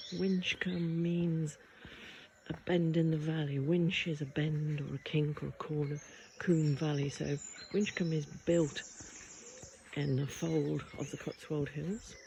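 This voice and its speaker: Soft-spoken delivery at a fairly slow pace, with long, frequent pauses. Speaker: local history vlogger. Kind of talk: casual walking vlog narration.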